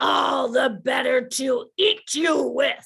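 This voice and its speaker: This man's delivery drags along very slowly. The voice he uses is a put-on character. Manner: yelling.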